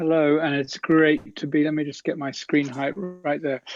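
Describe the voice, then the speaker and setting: Over music in the background, a man speaks at a fairly high pitch. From England, London. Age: 60s. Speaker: breathwork teacher. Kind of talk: life-story interview. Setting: video call. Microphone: poor wifi connection.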